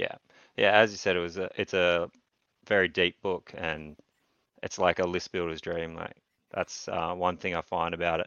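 With an Australian accent, a man speaks in a very deep, low voice at a moderate pace, his intonation flat and monotone, with long, frequent pauses. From Australia, Newcastle. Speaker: tournament wargamer. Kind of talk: casual chat.

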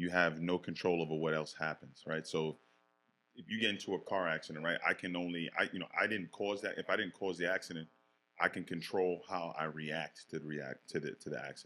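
Speaking at a fairly quick pace with an American accent, a man has a very deep, low pitch, a bright, sharp tone and fairly even intonation. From Bronx and Yonkers, New York. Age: 40s. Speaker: former police detective. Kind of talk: casual interview chat.

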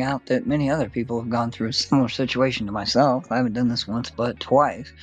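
Very fast speech from a man, noticeable background noise behind. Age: old. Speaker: podcast host. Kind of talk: casual chat. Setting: studio.

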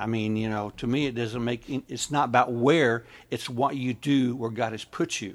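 A man at medium pitch with an American accent, ordinary pitch variation and a fairly quick pace, on a very clean recording with a silent background. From rural US. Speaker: missions ministry leader and writer. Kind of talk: casual chat.

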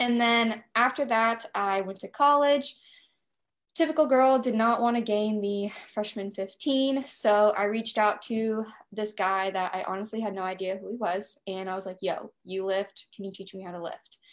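A woman with an American accent, an unremarkable speaking voice, fairly high pitch, ordinary pitch variation, big swings in loudness and a moderate pace, on a very clean recording with a silent background. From US South. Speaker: nutrition coach. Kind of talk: casual chat.

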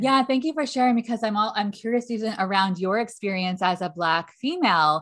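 Speaking at a fairly quick pace with hardly any pauses, a woman with a plain, everyday voice uses lively intonation at a fairly high pitch against a quiet background. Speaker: podcast host and leadership coach. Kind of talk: interview conversation.

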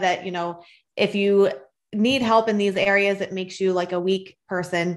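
A woman speaks in an ordinary speaking voice at a medium pitch and a moderate pace. Her pitch varies in an ordinary way against a quiet background. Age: 30s. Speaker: mother sharing mental health experience. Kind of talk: interview.

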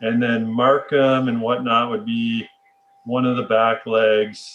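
A man with a Canadian accent and an unremarkable speaking voice talks at a fairly slow pace with ordinary pitch variation. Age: 30s. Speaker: podcast host. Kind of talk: casual chat.

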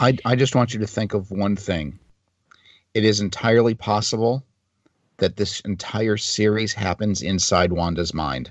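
Here is a man with an unremarkable speaking voice, fairly low in pitch. His pitch variation is ordinary and his pace moderate. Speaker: podcast co-host. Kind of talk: casual chat.

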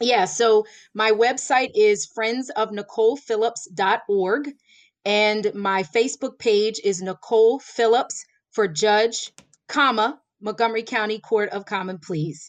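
Speaking at a fairly slow pace, a woman has an unremarkable speaking voice, fairly high in pitch with ordinary pitch variation. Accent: American. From Florida. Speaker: lawyer running for judge. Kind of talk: interview.

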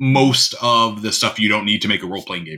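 Bright and sharp in tone, a man's medium-pitched voice comes with an American accent. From US Midwest, North Dakota. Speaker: game designer. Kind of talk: interview.

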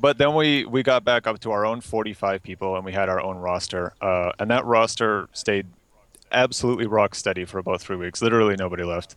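In a dry, close recording with no echo, a man with a fairly low voice talks at a fairly quick pace with ordinary pitch variation. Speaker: gaming guild leader. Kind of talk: casual chat. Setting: voice chat call.

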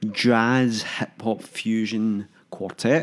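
A man's voice at a medium pitch, with a Lanarkshire accent. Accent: Scottish (Lanarkshire). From Hamilton, Scotland. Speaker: podcast co-host. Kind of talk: casual chat.

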